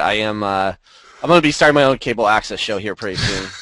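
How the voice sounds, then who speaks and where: A man's medium-pitched voice, bright and sharp in tone, at a very fast pace, with a dry, close sound with no echo and a quiet background. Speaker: podcast host, educator. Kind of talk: casual panel discussion. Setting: video call.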